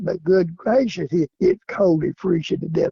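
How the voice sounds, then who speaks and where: In a Southern US accent, a man talks with ordinary pitch variation. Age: 70s. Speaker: coon hunter. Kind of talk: interview.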